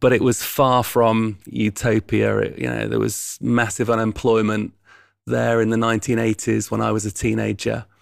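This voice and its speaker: A man with a Yorkshire accent at a moderate pace, in a very clean recording with a silent background. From East Yorkshire, England. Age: 50s. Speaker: charity founder and chief executive. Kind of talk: interview conversation.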